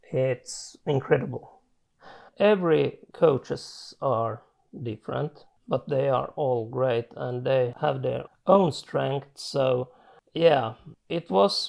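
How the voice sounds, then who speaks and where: In a Swedish accent, the speech moves at a very slow pace with ordinary pitch variation. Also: man, medium pitch for a man. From Finland. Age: 40s. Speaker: chronic illness patient. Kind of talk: testimony. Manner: halting.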